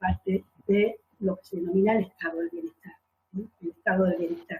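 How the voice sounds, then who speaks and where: Recorded with a dry, close sound and no echo, a woman speaks at a moderate pace. Her medium-pitched voice is somewhat breathy. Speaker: conference moderator, law academic. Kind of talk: conference panel moderation. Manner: halting, many fillers.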